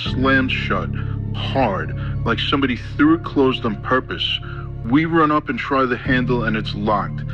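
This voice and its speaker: A man speaks with fairly even intonation. Music plays in the background. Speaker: storyteller. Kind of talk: first-person horror story narration. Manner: atmospheric.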